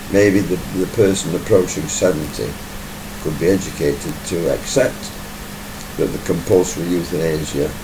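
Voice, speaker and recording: A man's very deep, low voice at a moderate pace, with ordinary pitch variation, long and frequent pauses, audible room echo and noticeable background noise. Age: 60s. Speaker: YouTuber giving commentary. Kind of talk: monologue commentary video. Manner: casual, conversational.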